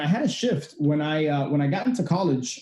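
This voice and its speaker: An ordinary speaking voice at a moderate pace. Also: man. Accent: American. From Miami, Florida (Cuban family). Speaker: real estate investor and podcast host. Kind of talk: interview. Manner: many fillers (uh, you know).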